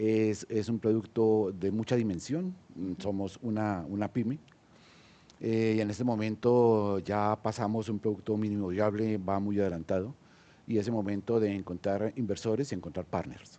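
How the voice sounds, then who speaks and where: A man with a Colombian accent speaks at a fairly low pitch in a dark, mellow tone. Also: fairly even intonation, moderate pace. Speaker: senior entrepreneur. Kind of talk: panel discussion. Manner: hesitant, many fillers.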